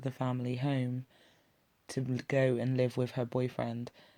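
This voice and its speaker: The speaker talks at a moderate pace. The voice is delivered with an English accent. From England. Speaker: YouTube reaction commentator. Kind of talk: video reaction commentary.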